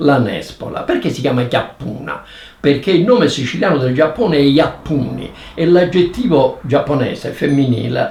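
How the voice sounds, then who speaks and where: Lively intonation from a man with a fairly high pitch at a moderate pace, amid noticeable background noise. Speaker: professor, dialect expert. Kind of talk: educational explanation.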